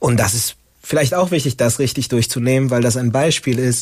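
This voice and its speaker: A man talks at a medium pitch in an ordinary speaking voice. His intonation stays fairly even. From Latin America (Bolivia), moved to Germany as a teen. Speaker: campus radio host. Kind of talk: casual talk show discussion.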